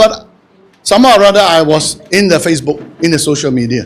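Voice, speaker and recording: A man talks loudly at a very fast pace. His tone is animated. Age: 60s. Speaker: audience member asking a question. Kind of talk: audience question at book launch.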